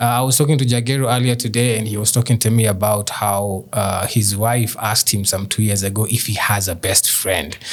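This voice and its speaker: A man talking at a fairly quick pace, with hardly any pauses, fairly even intonation, and noticeable background noise. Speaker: podcast host. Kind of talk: casual chat.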